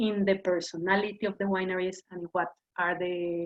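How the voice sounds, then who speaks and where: A woman with a Mexican accent. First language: Spanish. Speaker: wine educator. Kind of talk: lecture. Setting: video call. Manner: halting.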